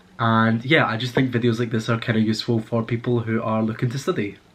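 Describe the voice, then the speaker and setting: Fairly quick, a man with a Scottish accent talks at a medium pitch. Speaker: book vlogger, university student. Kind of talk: casual chat. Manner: casual, with filler words.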